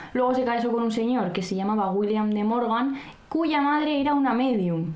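A woman talks at a fairly quick pace with ordinary pitch variation. The room echo is audible and background noise is noticeable. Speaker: podcast co-host. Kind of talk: casual chat with read-out script passages. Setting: home recording, not a studio.

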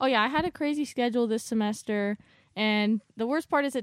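At a moderate pace and with ordinary pitch variation, a woman talks in an unremarkable speaking voice, the sound dry and close with no echo against a quiet background. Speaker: college student, host's daughter. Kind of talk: casual chat.

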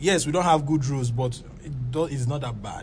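A man with a Nigerian accent at a moderate pace, with audible room echo. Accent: Nigerian (Yoruba) English. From Lagos, Nigeria. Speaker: startup founder. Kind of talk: interview.

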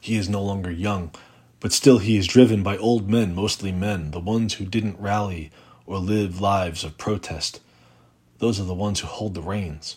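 With fairly even intonation, this is a plain, everyday voice. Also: man, fairly low pitch for a man. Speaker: poet. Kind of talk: poetry reading, reading aloud a protest poem. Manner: measured, deliberate, rhythmic.

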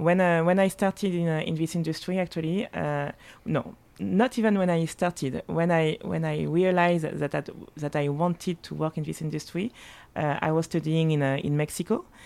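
At a moderate pace, a woman with a French accent speaks at a fairly low pitch with ordinary pitch variation. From Martinique and Paris. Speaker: spirits marketing director. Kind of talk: casual chat. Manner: halting.

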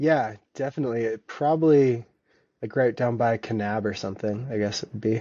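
With an American accent, a man talks at a fairly quick pace in a plain, everyday voice with ordinary pitch variation. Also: medium pitch for a man. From US Pacific Northwest (Vancouver, Washington). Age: 30s. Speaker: thru hiker and ultra runner. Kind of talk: casual interview.

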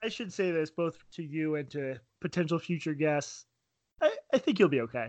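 At a moderate pace, a man with an unremarkable speaking voice and a fairly high pitch talks with lively intonation. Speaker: podcast host interviewer. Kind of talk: casual interview conversation.

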